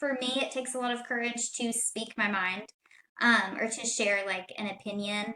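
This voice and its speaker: This woman's voice sits at a fairly high pitch. She keeps a moderate pace and fairly even intonation. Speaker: podcast guest. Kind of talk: casual chat. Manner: soft-spoken.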